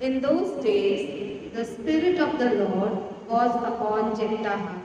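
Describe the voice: With lively intonation and a slow pace, a woman speaks at a fairly high pitch in a dark, mellow tone, and the room echo is strong.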